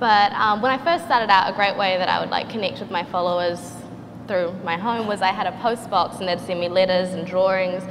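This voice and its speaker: A woman with a New Zealand accent speaks at a fairly quick pace, medium pitch and fairly even intonation. Noticeable background noise runs underneath. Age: 20s. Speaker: artist and social media influencer. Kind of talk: panel discussion.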